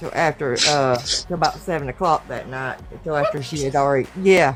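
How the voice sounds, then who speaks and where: Music plays in the background as someone talks at a fairly quick pace with a Southern US accent. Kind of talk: testimony. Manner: halting.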